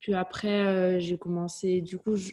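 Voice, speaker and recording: This woman has a medium pitch and a dark, mellow tone, delivered in a flat monotone. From southern France, Toulouse. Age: 30s. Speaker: fitness coach and entrepreneur. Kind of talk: interview. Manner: casual.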